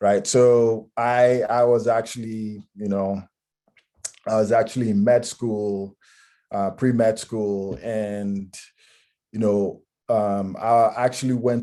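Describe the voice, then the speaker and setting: A man speaks at a very slow pace in a fairly low pitch with a dark, mellow tone. His intonation stays monotone and flat. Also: very clean recording, silent background. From Ghana. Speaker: technology consultant. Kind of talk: career talk. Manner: many filler words.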